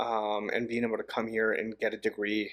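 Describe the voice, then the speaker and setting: A man with a Spanish accent is captured in a very clean recording with a silent background. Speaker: podcast host. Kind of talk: interview.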